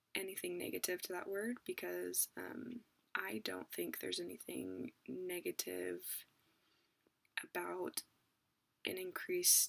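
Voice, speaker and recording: In a dry, close sound with no echo, a woman speaks in a whisper. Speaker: parent. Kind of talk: casual talk to camera. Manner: whispered.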